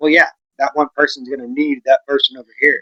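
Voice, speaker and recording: The speaker has an American accent and talks at a very fast pace. The sound is dry and close, with no echo. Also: man. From West Texas. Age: 40s. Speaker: vlogger. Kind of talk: casual chat.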